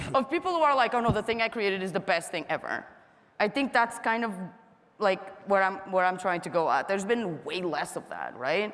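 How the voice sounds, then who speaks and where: A woman with a non-native accent speaks at a fairly quick pace, her medium pitch carried by lively intonation. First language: not English. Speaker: panel moderator. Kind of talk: panel discussion. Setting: stage with audience. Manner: casual, filler-heavy.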